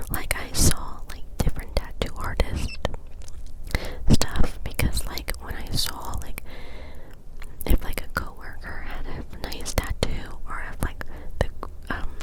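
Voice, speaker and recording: Someone is whispering at a very slow pace with long, frequent pauses. Noticeable background noise is present. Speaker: ASMR creator. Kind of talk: ASMR close-up whisper rambling; casual rambling talk. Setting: home recording setup. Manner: whispered.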